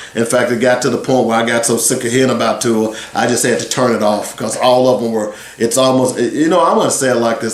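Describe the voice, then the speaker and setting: Over noticeable background noise and audible room echo, a man speaks at a moderate pace with a medium pitch. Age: 60s. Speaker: sports radio host. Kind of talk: radio talk show monologue.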